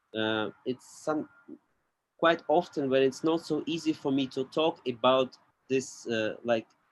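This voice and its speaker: At a fairly slow pace, a man with a non-native accent speaks in a medium pitch with ordinary pitch variation. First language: not English. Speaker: podcast guest. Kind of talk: casual chat. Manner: halting.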